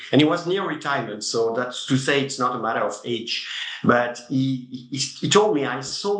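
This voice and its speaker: A man with a French accent talks at a moderate pace and medium pitch, with ordinary pitch variation. Noticeable background noise and audible room echo come through. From France. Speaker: tech company CEO. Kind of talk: interview. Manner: halting.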